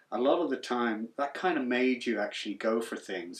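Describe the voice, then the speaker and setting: Speaking with a Cavan accent, a man moves at a fairly quick pace, his pitch varying in an ordinary way. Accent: Irish, Cavan. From Ireland, Bailieborough, Co. Cavan, after childhood in England. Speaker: songwriter, musician. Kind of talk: documentary interview.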